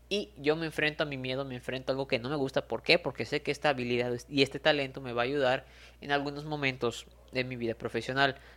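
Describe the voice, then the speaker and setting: On a very clean recording with a silent background, the talking races along at a very fast pace. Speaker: motivational podcaster. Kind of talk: motivational monologue.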